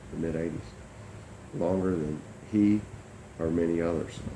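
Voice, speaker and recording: A man speaks with a very deep, low pitch and a dark, mellow tone. His intonation is fairly even, with audible room echo. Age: 60s. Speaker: company founder and mediator. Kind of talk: monologue to camera. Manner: hesitant, many fillers.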